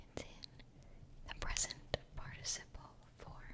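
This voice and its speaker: Whispered speech moves at a very slow pace over noticeable background noise. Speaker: English teacher, ASMR creator. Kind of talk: educational vocabulary lesson and whispered book reading. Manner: whispered, soft-spoken.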